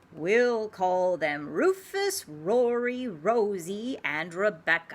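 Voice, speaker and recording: A woman in a put-on character voice, medium in pitch, at a very slow pace. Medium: read story.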